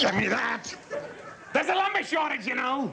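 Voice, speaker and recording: A man puts on a gruff character voice at an extremely high pitch, with very wide pitch swings. He talks at a moderate pace over clear background noise. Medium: comedy sketch. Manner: hearty, gruff, folksy.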